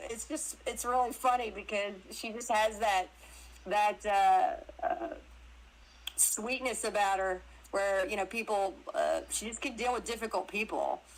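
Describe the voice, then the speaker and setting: With a Southern US accent, a woman talks in an animated tone at a fairly high pitch, with ordinary pitch variation and a fairly slow pace. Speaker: actress and crypto interview guest. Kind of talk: casual chat. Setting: live audio stream on social media.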